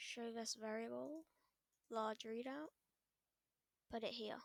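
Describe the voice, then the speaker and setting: The woman's voice sounds dry and close, without any echo. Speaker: Scratch tutorial creator. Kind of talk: screen-recorded coding tutorial. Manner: audible swallowing.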